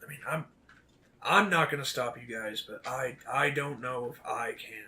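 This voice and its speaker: Putting on a character voice, a man speaks raspy at medium pitch and a moderate pace, with big swings in loudness. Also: ordinary pitch variation. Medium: actual play. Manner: blunt, gruff.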